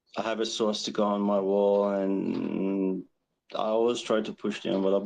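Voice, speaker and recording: A man with a fairly low pitch speaks at a fairly slow pace. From Iran. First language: Persian. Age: 40s. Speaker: caller. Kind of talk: call-in question on livestream. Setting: outdoors on balcony. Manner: slow, halting.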